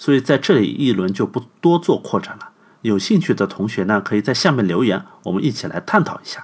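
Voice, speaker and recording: A man speaks at a medium pitch and a fairly quick pace. His pitch swings very widely. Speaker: podcast host. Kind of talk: scripted narration. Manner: animated.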